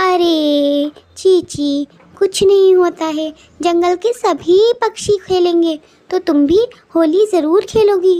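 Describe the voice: A woman does a cartoonish character voice at an extremely high pitch and a very slow pace.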